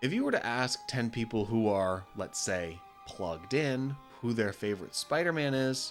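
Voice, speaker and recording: Over music in the background, a man talks at a moderate pace and medium pitch with lively intonation. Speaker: video game critic. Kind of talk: video essay narration.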